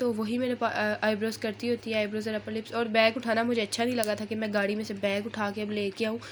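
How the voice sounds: With little pitch movement and few pauses, a woman speaks at a fast pace in a fairly high pitch.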